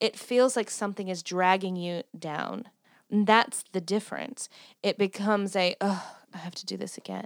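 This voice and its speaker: In a Southern US accent, a woman speaks at a medium pitch and a moderate pace with fairly even intonation. Her loudness swings widely, and the recording is very clean with a silent background. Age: 30s. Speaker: podcast host. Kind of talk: casual chat.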